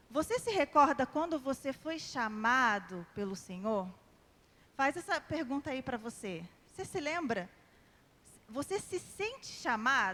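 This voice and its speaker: Speaking in a raised, projected voice with a slight carioca accent, a woman with a high pitch talks at a fairly slow pace, using very wide pitch swings and long, frequent pauses. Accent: slight carioca (Rio de Janeiro). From Brazil, São José; formed in Rio de Janeiro. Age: 30s. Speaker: lay preacher. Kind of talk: sermon. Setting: church prayer group with audience.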